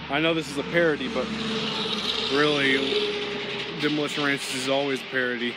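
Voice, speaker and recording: The man's fairly quick speech comes through dry, with no echo, while loud background noise runs underneath. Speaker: small youtuber. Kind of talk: casual vlog chat. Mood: warm, earnest. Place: garden. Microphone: phone near.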